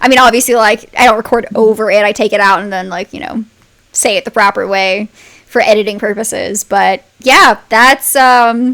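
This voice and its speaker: A woman's bright, sharp voice, fairly high in pitch, moves at a moderate pace with ordinary pitch variation. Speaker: podcast narrator and co-host. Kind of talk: casual behind-the-scenes chat.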